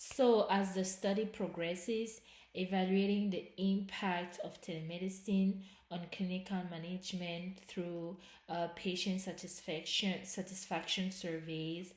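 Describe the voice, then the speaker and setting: A woman speaks fairly slowly at a medium pitch in a flat, monotone way, somewhat breathy and with a non-native accent. Audible room echo surrounds her voice. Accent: noticeable non-native. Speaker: student presenting research project. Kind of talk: academic presentation. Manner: halting, self-correcting.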